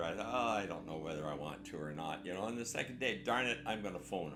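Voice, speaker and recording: Music plays in the background as a man with a Canadian accent talks at a fairly quick pace, with audible room echo. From Canada. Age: 80s+. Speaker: war veteran. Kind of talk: interview storytelling. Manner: conversational, halting.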